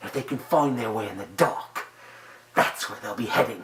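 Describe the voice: A man performs in a put-on character voice.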